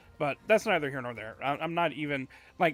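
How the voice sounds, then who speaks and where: Loud and with a bright, sharp tone, a man with fairly high pitch talks at a fairly quick pace with ordinary pitch variation. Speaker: streamer. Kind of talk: casual chat. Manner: halting.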